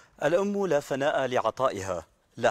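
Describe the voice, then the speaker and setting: A man speaks in an ordinary speaking voice, fairly high in pitch, at a fairly slow pace with lively intonation. The sound is dry with no echo and a quiet background. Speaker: TV presenter. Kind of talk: TV talk show. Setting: TV studio. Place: garden. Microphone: lapel.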